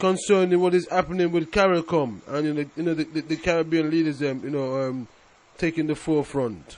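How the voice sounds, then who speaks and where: A man's voice has a dark, mellow tone and a fairly high pitch. He speaks at a moderate pace. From England. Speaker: radio host. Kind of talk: radio interview.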